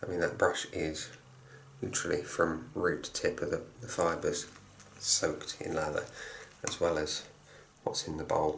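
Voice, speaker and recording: A quiet man with an English accent speaks at a moderate pace, pausing long and often. Noticeable background noise runs underneath. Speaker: shaving product reviewer. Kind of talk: product review tutorial.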